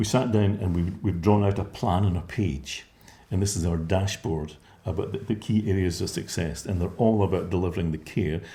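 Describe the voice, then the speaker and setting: Somewhat breathy, the voice carries a dark, mellow tone. It goes at a fairly quick pace with ordinary pitch variation. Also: man, very deep, low pitch for a man. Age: 60s. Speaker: care home company founder. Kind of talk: interview. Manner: halting.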